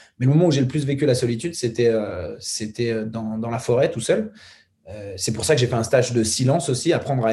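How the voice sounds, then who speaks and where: Somewhat breathy and dark, mellow in tone, a man talks very fast at a medium pitch. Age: 20s. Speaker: documentary filmmaker. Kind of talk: casual chat.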